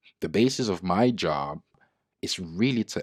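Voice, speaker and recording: Speaking with a non-native accent, a man uses lively intonation at a fairly slow pace. The sound is dry and close with no echo, on a very clean recording with a silent background. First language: not English. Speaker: trading educator and user researcher. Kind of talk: tutorial.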